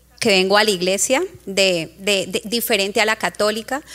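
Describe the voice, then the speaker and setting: A woman speaks at a fairly slow pace in a bright, sharp tone. She has a strong Colombian accent. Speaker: congregation member. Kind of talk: testimony.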